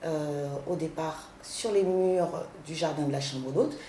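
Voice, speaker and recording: A woman is heard with audible room echo. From Paris, France (born in Haiti, arrived at 10). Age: 40s. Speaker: guest house owner and art gallerist. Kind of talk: interview.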